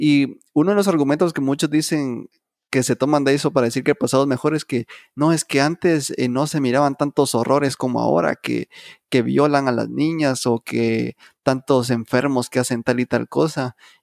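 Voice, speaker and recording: In a very clean recording with a silent background and a dry, close sound with no echo, a man with a fairly high pitch talks at a moderate pace in an unremarkable speaking voice with fairly even intonation. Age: 20s. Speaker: podcast co-host. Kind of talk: casual chat.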